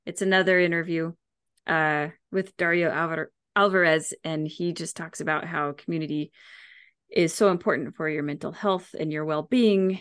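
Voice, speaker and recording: A woman's fairly low, fairly even voice at a moderate pace, an unremarkable speaking voice against a quiet background. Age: 30s. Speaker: podcast host and health coach. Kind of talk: casual chat. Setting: home studio.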